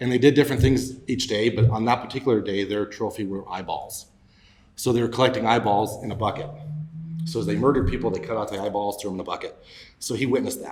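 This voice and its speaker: A man speaks at a very fast pace with a Mountain West accent. His fairly low voice is somewhat breathy, with ordinary pitch variation. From Wyoming, Laramie County. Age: 40s. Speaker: political candidate. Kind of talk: podcast interview.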